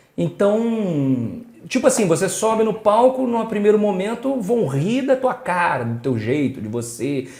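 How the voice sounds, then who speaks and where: A man's pitch rises and falls in very wide swings while noticeable background noise runs beneath him. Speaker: podcast host. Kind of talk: podcast host talk.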